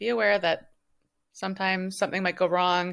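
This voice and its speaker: The background is silent and the recording very clean. A woman talks at a medium pitch. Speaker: online business tech consultant. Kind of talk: screen-share tutorial. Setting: at home. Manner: fast; hesitant with frequent ums.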